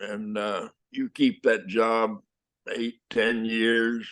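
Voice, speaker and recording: A man's very slow, monotone delivery in a medium pitch with a West Texas accent and flat intonation. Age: 80s+. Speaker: actor. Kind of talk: interview answer. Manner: hesitant, halting.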